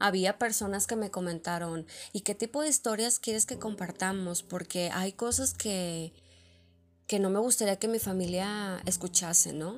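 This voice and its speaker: A woman with a medium pitch talks at a fairly slow pace in an ordinary speaking voice. Her pitch variation is ordinary, and the recording is very clean with a silent background. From Mexico, Monterrey. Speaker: podcast host. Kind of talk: personal storytelling monologue.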